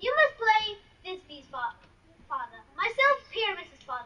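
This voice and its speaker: A squeaky put-on character voice, in which the speaker moves at a moderate pace with very wide pitch swings. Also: woman, extremely high pitch for a woman. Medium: stage play. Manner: earnest, bustling.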